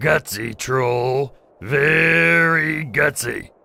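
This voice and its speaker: Putting on a character voice, a man sounds raspy at a medium pitch. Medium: audio drama. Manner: haughty, commanding.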